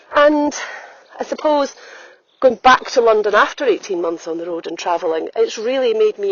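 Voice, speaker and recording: Speaking at a moderate pace with an Edinburgh accent, the voice makes very wide pitch swings. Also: woman. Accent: Scottish (Edinburgh). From Scotland, Edinburgh. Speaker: holistic health coach and podcaster. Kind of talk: reflective podcast monologue. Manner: conversational, with frequent fillers.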